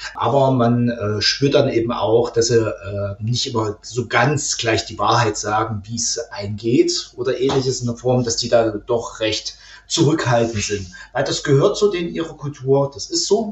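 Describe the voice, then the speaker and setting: The pace is fairly slow, with ordinary pitch variation. Noticeable background noise runs underneath. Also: man, medium pitch for a man. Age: 30s. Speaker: IT administrator and host father. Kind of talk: casual interview.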